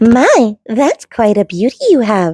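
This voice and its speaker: A woman's put-on character voice, fairly high in pitch, with lively intonation and a fairly slow pace. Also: very clean recording, silent background. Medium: read story.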